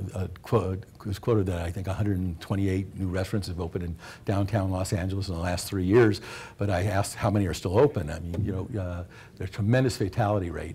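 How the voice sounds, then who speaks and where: Very fast and somewhat breathy, a man speaks with a fairly low pitch and a dark, mellow tone. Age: 60s. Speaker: restaurant company co-founder. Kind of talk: talk to students.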